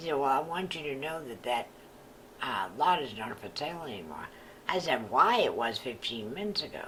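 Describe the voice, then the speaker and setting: A woman's very deep, low voice at a fairly quick pace, with very wide pitch swings, big swings in loudness and noticeable background noise. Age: 70s. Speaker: retired real estate agent. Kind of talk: personal storytelling.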